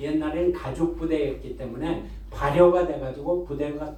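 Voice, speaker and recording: Over noticeable background noise and audible room echo, a man with a fairly high voice talks at a fairly slow pace. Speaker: pastor. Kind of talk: sermon.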